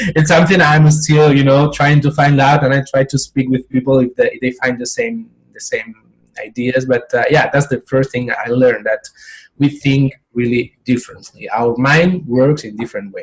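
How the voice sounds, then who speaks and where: A somewhat breathy man's voice, fairly high in pitch, at a moderate pace with ordinary pitch variation. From Spain. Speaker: professional coach. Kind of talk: interview. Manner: halting, with many repetitions.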